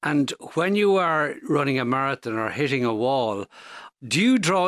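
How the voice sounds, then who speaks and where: With an Irish accent, a man talks in a fairly high pitch with lively intonation. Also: very clean recording, silent background. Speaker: radio podcast host. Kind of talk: interview. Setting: studio.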